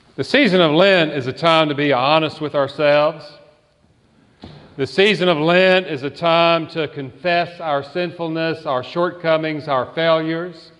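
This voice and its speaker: Fairly slow, fairly even speech with a Southern US accent. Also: man, fairly high pitch for a man. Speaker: pastor. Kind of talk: sermon. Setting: church.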